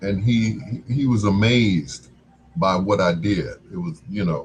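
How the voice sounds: This man talks at a slow pace in a low pitch, with ordinary pitch variation and a slightly husky edge.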